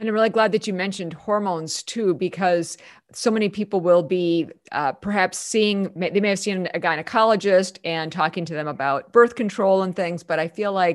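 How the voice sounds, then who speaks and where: This is an ordinary speaking voice at a moderate pace. It has ordinary pitch variation. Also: woman. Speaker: podcast host. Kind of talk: interview.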